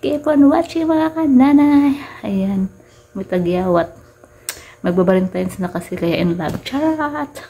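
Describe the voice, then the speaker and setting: A soft-spoken woman at a fairly slow pace, medium in pitch with very wide pitch swings, against noticeable background noise. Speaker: vlogger. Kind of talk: casual unboxing vlog. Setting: at home at night.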